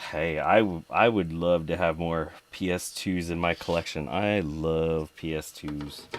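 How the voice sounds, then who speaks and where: A man's very deep, low voice with fairly even intonation over noticeable background noise. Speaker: retro computer repair streamer. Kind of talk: live stream tutorial. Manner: casual, conversational.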